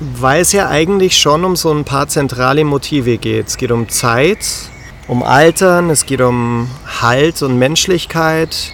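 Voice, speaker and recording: Over noticeable background noise, a man at a fairly high pitch talks at a very slow pace with ordinary pitch variation. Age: 30s. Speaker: podcast host. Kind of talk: casual chat. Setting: outdoors by a river.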